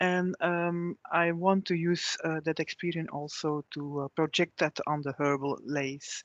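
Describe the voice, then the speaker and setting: A woman with a Flemish accent, fairly low-pitched, flat and monotone, fairly slow with hardly any pauses, dry and close with no echo over a quiet background. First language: Dutch. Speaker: farm researcher. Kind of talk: online presentation. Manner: halting, many hesitations.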